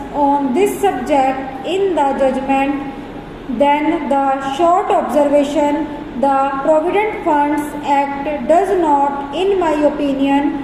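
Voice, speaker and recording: Against noticeable background noise, a woman with a high pitch speaks at a very slow pace with fairly even intonation and very even loudness. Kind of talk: legal dictation read at 100 words per minute for stenography practice. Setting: dictation practice recording. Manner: slow, dictation pace, pausing between sentences.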